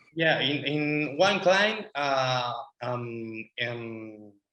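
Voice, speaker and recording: A man's medium-pitched voice with ordinary pitch variation and a Spanish accent. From Spain. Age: 20s. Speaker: marketing agency owner, student. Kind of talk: interview. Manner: halting, many fillers.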